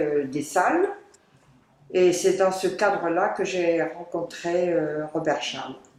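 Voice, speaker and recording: A woman at a medium pitch with ordinary pitch variation and a very slow pace, amid noticeable background noise and audible room echo. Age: 70s. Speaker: retired volunteer teacher. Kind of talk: interview testimony. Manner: hesitant, many fillers.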